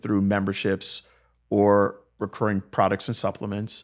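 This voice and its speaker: Recorded very cleanly against a silent background, a man with an ordinary speaking voice talks at a moderate pace and fairly low pitch. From South Florida, born in Jamaica. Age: 40s. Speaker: healthcare business founder and former physical therapist. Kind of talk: podcast interview.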